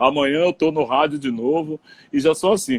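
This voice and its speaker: A man with a fairly high, unremarkable speaking voice talks at a fairly slow pace, the sound dry and close with no echo. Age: 60s. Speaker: radio broadcaster. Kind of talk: interview on live stream. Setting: Instagram live video call.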